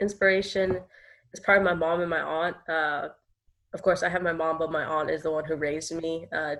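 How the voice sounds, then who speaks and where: A woman with an American accent and a normal speaking voice talks at a moderate pace and fairly low pitch against a quiet background. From New York, the Bronx. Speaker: nonprofit co-founder. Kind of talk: interview. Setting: podcast.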